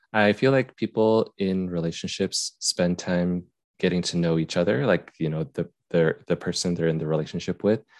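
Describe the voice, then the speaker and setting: Against a quiet background, a man with a very deep, low pitch talks at a moderate pace with ordinary pitch variation, in a dry, close sound with no echo. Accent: Utah. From Utah. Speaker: YouTuber and software tester. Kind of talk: casual chat.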